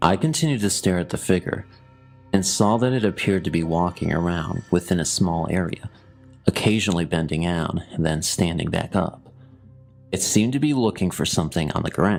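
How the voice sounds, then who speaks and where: Very deep, low male voice at a fairly quick pace, with music in the background. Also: ordinary pitch variation. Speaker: horror story narrator. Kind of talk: horror story narration.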